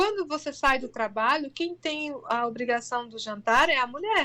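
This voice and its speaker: The voice is raised and projected, with a bright, sharp tone. The pace is moderate. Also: woman. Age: 40s. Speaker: integrative therapist. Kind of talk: interview conversation. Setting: online live stream.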